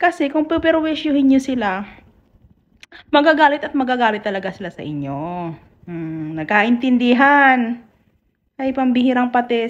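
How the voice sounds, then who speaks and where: At a moderate pace, a woman's high voice swings very widely in pitch and heavily in loudness. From Mindanao, Philippines; Philippines. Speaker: YouTuber. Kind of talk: casual vlog commentary. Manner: animated. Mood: exasperated, chiding. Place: home room. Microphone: phone near.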